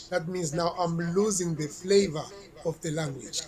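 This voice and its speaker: Noticeable background noise behind a man's high-pitched voice, fairly even in intonation and fairly slow in pace. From South Africa. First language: Xhosa. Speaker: reggae artist. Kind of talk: interview.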